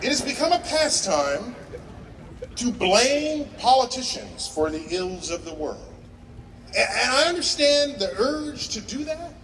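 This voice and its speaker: Over noticeable background noise, a man with an extremely high pitch speaks at a fairly slow pace, his pitch swinging very widely. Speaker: commencement speaker, science educator. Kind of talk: commencement speech to a live audience.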